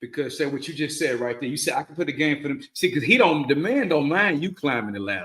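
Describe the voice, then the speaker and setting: This man talks very fast with hardly any pauses. His fairly high voice has lively intonation. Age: 40s. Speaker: podcast host. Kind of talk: casual chat. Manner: animated.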